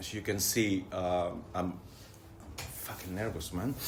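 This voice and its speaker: A very deep, low-pitched man's voice with a non-native accent and audible room echo. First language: not English. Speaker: recovering addict sharing at a meeting. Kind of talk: testimony. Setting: church hall meeting with audience. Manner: halting, many fillers and repetitions.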